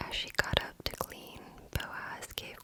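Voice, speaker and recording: Someone whispers. Background noise is noticeable. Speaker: ASMR content creator. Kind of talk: Bible reading for sleep. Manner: slow, soft-spoken.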